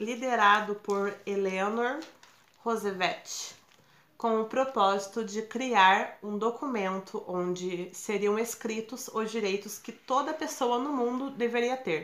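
A woman's fairly high, bright and sharp voice at a very slow pace, with ordinary pitch variation. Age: 18. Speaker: college student. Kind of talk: school project podcast.

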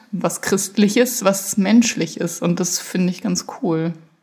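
With ordinary pitch variation, a woman's somewhat breathy voice carries through. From northern Germany, Kreis Segeberg (Schleswig-Holstein). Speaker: podcast co-host. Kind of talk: casual chat.

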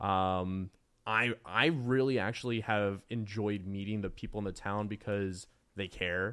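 A man with a normal speaking voice and an American accent speaks at a fairly slow pace and a fairly low pitch. His intonation is fairly even, and the recording is very clean with a silent background. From rural US. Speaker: football club co-owner. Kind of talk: casual interview.

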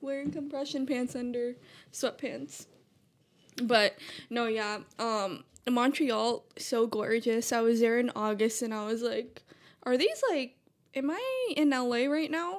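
A woman with a high pitch speaks at a fairly slow pace with ordinary pitch variation and long, frequent pauses, in a very clean recording with a silent background. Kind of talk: casual chat. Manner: calm.

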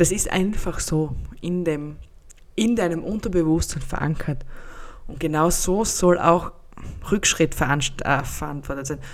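A woman with a fairly low pitch talks very slowly, leaving long, frequent pauses, her pitch varying in an ordinary way. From Austria. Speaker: podcast host and life coach. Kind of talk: solo podcast monologue. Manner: casual, chatty.

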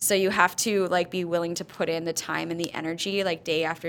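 A woman at a fairly quick pace with a fairly low pitch and vocal fry. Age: 30s. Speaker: spin instructor and gym founder. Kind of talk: casual chat.

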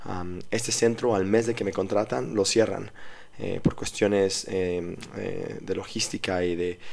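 A normal speaking voice, its intonation fairly even. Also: man. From Mexico City. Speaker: strength and conditioning coach. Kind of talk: interview.

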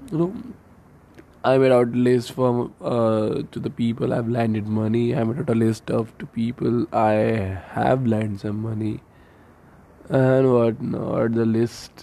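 With an Indian accent, a man talks at a fairly slow pace in a medium pitch, his tone dark and mellow and his intonation fairly even. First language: Hindi. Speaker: medical student podcaster. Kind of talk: casual monologue. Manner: Hindi-English code-switching.

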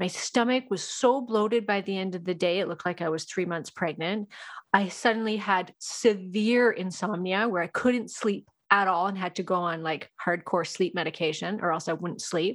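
Against a quiet background, a woman with an ordinary speaking voice talks at a moderate pace and medium pitch with ordinary pitch variation. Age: 40s. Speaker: hormone specialist and nutrition coach. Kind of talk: casual interview chat.

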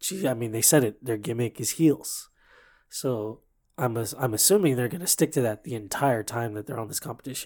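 A man with a plain, everyday voice, medium pitch, ordinary pitch variation and a fairly quick pace, on a very clean recording with a silent background. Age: 30s. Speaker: fill-in podcast host, dancer. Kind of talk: casual chat.

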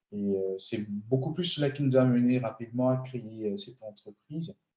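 A man speaks with a dark, mellow tone at a fairly slow pace. His pitch varies in an ordinary way. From Benin. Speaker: transport engineer and entrepreneur. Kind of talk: interview. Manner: hesitant, many fillers.

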